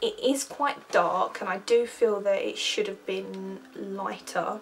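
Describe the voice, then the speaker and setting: Noticeable background noise behind a female voice. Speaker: art student. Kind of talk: vlog presentation of own artwork. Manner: stumbling over words.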